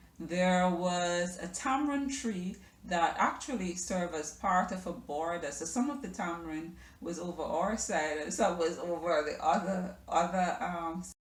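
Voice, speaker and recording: Audible room echo surrounds a woman speaking at a fairly slow pace, her pitch fairly low and its variation ordinary. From Jamaica, Kingston. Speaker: lifestyle vlogger. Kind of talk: personal storytelling vlog. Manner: hesitant, many fillers.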